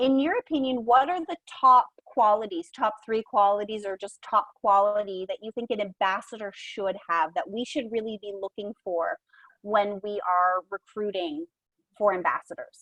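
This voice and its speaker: Lively intonation marks a woman's fairly high voice, delivered at a moderate pace in a dry, close sound with no echo. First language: bilingual English and French. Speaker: program coordinator moderating a discussion. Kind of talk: virtual roundtable discussion.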